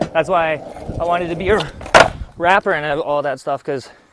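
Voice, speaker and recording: A man's high-pitched voice with a relaxed tone and a moderate pace, over noticeable background noise. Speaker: vlogger. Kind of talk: casual vlog monologue. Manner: relaxed, rambling with fillers.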